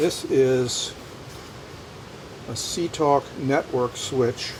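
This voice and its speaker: A man speaks with a fairly high pitch and fairly even intonation. Noticeable background noise runs underneath. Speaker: storage unit buyer. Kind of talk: casual talk to camera.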